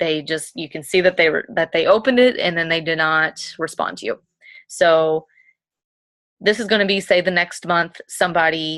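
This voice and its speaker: Against a quiet background, a woman speaks at a fairly low pitch with ordinary pitch variation. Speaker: fitness coach leading a sales team. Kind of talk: team training talk recorded at home. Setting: bedroom, self-recorded video. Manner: fast.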